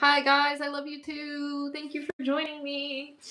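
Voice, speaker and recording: With a Florida accent, a woman speaks in a high pitch at a fairly slow pace. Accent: American, Florida. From Florida, Orlando. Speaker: YouTuber, livestreamer. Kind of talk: casual livestream chat reading comments. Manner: casual, chatty with fillers.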